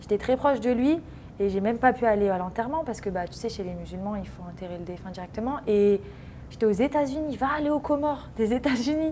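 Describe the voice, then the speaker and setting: Against noticeable background noise, a woman with a fairly high pitch speaks at a very fast pace, with lively intonation and big swings in loudness. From France, Paris region. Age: 20s. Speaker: professional footballer. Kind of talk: interview. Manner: casual.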